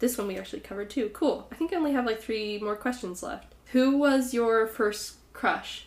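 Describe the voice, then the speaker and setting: A woman at a moderate pace with hardly any pauses, fairly high pitch and ordinary pitch variation. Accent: American. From California. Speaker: podcast host. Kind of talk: casual chat, interview with her grandmother. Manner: animated, chatty.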